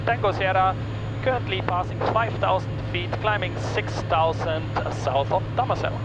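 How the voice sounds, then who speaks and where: A man speaks at a moderate pace. Music plays behind him, and the room echo is audible. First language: Dutch (speaking German). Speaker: private pilot and vlogger. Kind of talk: casual cockpit vlog narration; aviation radio calls. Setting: small plane cockpit in flight. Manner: hesitant, many fillers.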